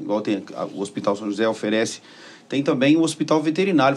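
Delivered in an ordinary speaking voice, the speech has lively intonation. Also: man. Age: 60s. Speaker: podcast host. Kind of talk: interview. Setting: studio.

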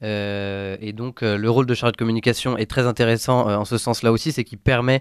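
On a very clean recording with a silent background, a man speaks at a fairly quick pace in a monotone, flat intonation, the sound dry and close with no echo. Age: 20s. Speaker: former volunteer, communications student. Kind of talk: testimony. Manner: halting, many hesitations.

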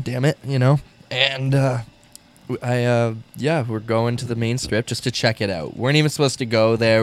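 A man's normal speaking voice at a medium pitch and a fairly quick pace. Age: 20s. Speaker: musician and radio host. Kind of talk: casual chat.

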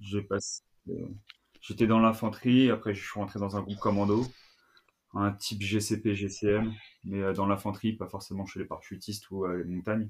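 This man talks at a moderate pace with long, frequent pauses. His intonation is monotone and flat, and the recording is very clean with a silent background. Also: fairly low pitch for a man. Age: 20s. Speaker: CrossFit coach. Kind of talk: casual interview.

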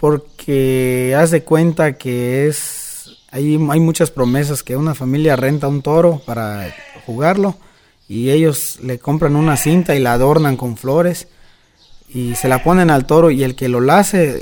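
Noticeable background noise sits behind this man. He speaks at a fairly slow pace and fairly high pitch with ordinary pitch variation. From Mexico, Yucatán. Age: 20s. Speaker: rodeo roper and cattle trader. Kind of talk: interview.

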